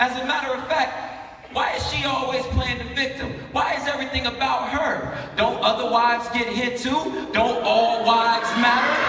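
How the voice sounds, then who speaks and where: A man speaks in a raised, projected voice at an extremely high pitch, with noticeable background noise behind him. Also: fairly even intonation, moderate pace. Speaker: spoken word artist. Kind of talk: live spoken word poetry performance. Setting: live conference stage.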